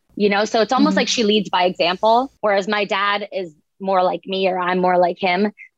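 Someone with an American accent speaks in a normal speaking voice at a fairly quick pace with fairly even intonation. The sound is dry and close, with no echo. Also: woman, medium pitch for a woman. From US South. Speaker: author. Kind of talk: interview.

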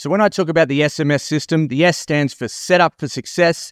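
A man with an Australian accent speaks in an animated tone at a moderate pace. The recording is very clean with a silent background and a dry, close sound with no echo. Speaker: business consultant and podcast host. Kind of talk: solo podcast monologue, sales-style pitch. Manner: animated, boastful, humorous.

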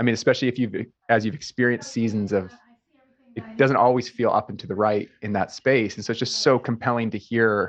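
A man speaks at a fairly quick pace. His medium pitch stays in a monotone, flat intonation. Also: big swings in loudness. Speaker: interviewer. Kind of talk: interview.

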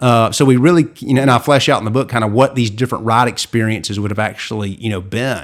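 A man speaks in an ordinary speaking voice. His pitch sits in the medium range and varies in an ordinary way. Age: 40s. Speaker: Disney historian, author and attorney. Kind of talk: casual interview.

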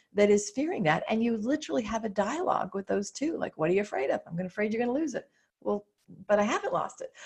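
Her voice fairly high and somewhat breathy, a woman speaks with lively intonation. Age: 50s. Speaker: business coach, former psychotherapist. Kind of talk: interview chat.

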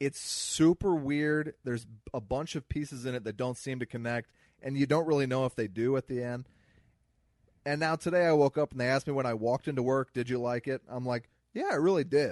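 A man with an American accent speaks at a fairly quick pace in a plain, everyday voice, with medium pitch and ordinary pitch variation, in a dry, close sound with no echo and a quiet background. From US Midwest. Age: 30s. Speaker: comedian podcast co-host. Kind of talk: casual chat.

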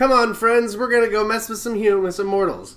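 This man uses a put-on character voice, pitched high and delivered at a fairly quick pace. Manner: playful, bored, impatient.

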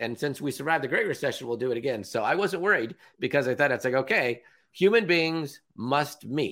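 Speaking at a fairly quick pace with a West Coast US accent, a man with a fairly high pitch has a bright, sharp tone and lively intonation. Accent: General American (West Coast). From Southern California, Orange County. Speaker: meeting emcee and business speaker. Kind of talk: casual interview chat. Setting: remote call.

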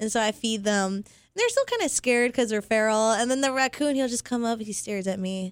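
In a very clean recording with a silent background, a woman speaks fairly quickly in an unremarkable speaking voice, fairly high in pitch with ordinary pitch variation. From Las Vegas, US. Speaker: adult film performer. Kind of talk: casual chat.

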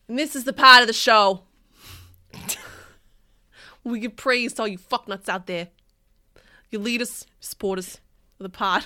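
In a put-on character voice, a woman sounds strained, her pitch fairly high and her pace moderate, on a very clean recording with a silent background. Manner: mock, strained attempt.

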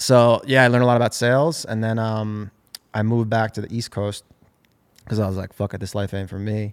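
An unremarkable speaking voice belongs to a man talking at a fairly quick pace and medium pitch with fairly even intonation. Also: very clean recording, silent background. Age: 30s. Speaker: business co-founder. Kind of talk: casual chat.

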